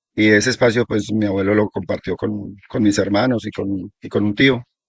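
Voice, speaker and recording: A man speaks with a Colombian accent. The sound is dry and close, with no echo. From Colombia, Risaralda region then eastern plains. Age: 60s. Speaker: local elder sharing oral history. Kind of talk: oral history interview. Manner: halting, with fillers and repetitions.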